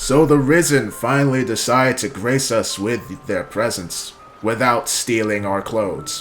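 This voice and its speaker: A man puts on a booming character voice at a medium pitch with ordinary pitch variation. He talks at a moderate pace over clear background noise. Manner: commanding, sarcastic.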